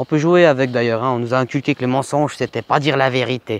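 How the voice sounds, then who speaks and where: Man's voice, medium in pitch at a moderate pace, dry and close with no echo. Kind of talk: casual chat. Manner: halting.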